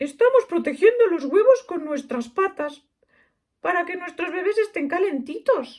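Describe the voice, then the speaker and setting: A put-on character voice at an extremely high pitch and a moderate pace. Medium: read story.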